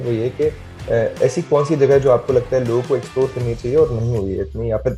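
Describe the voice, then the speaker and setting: Lively intonation marks a man's speech while music plays behind it. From Delhi, India. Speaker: photographer and traveller. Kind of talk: radio interview answer. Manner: conversational, reflective, Hindi-English code-mixing.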